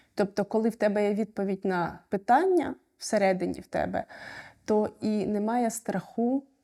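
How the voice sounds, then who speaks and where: This woman has a plain, everyday voice with a fairly high pitch. She talks at a moderate pace with ordinary pitch variation. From Ukraine. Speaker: refugee sharing experience. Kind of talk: personal testimony.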